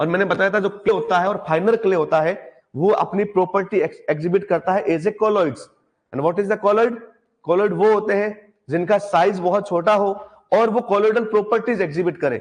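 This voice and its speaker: A man's high-pitched voice with ordinary pitch variation and very even loudness. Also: moderate pace. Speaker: agriculture exam tutor. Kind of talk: lecture.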